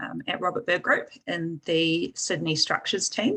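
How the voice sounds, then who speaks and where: Bright, sharp tone from a woman. She speaks at a fairly slow pace. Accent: New Zealand. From New Zealand. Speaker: structural engineer. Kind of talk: panel discussion.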